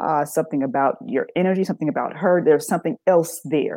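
With an American accent, a woman speaks at a fairly quick pace in a fairly low pitch and a dark, mellow tone against a quiet background. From US South, Birmingham, Alabama. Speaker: sex therapist. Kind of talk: interview on a live talk show.

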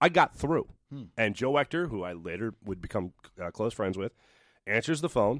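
On a very clean recording with a silent background, a man at medium pitch speaks at a moderate pace with very wide pitch swings and big swings in loudness. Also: dry, close sound with no echo. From Philadelphia area, Pennsylvania (Doylestown). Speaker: sports TV host. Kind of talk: casual chat. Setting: radio studio.

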